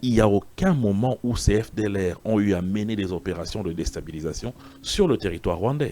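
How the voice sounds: A man's voice with a fairly low pitch, a dark, mellow tone and lively intonation.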